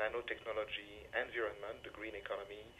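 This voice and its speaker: A man speaks at a moderate pace with a French accent. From France. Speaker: diplomat. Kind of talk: interview. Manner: halting, many hesitations.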